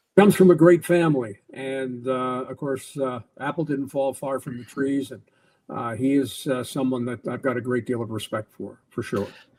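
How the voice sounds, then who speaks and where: In a Canadian accent, a man with a normal speaking voice talks at a moderate pace and medium pitch with ordinary pitch variation. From Canada (Toronto, then Calgary). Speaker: retired hockey play-by-play broadcaster. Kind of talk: podcast interview.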